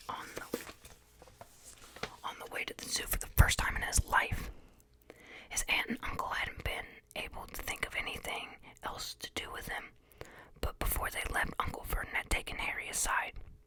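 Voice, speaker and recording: Noticeable background noise sits under the voice. The whispering moves at a moderate pace. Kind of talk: ASMR audiobook reading of a novel.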